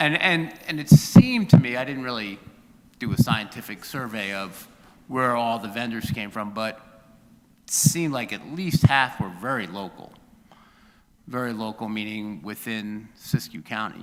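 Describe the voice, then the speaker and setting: The speech moves at a moderate pace with ordinary pitch variation and big swings in loudness. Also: man, medium pitch for a man. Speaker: city council member. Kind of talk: public meeting discussion. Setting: council chamber meeting. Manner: halting.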